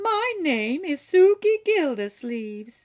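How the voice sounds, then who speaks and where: The voice is a squeaky put-on character voice with very wide pitch swings. It moves at a fairly slow pace. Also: woman. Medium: read story. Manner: plain, rustic.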